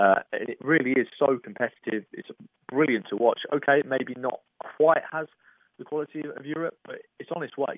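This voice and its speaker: This man has an ordinary speaking voice, fairly high in pitch, with ordinary pitch variation, a moderate pace and big swings in loudness. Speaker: football pundit. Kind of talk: interview.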